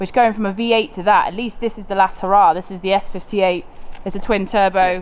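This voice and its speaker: Someone with a British accent talks at a very fast pace with fairly even intonation. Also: woman, medium pitch for a woman. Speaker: car content creator. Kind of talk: casual conversation.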